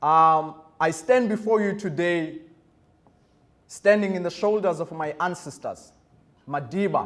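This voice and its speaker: Moderate pace and ordinary pitch variation, in a South African accent. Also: man. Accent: South African Xhosa. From South Africa, Eastern Cape. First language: Xhosa. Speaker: guest speaker. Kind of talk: speech to students. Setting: school auditorium. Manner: formal.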